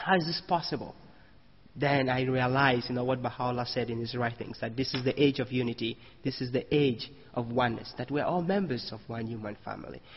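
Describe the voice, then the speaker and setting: Fairly quick and somewhat breathy, a man's medium-pitched voice moves along. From Cameroon. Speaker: Baha'i speaker. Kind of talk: sermon.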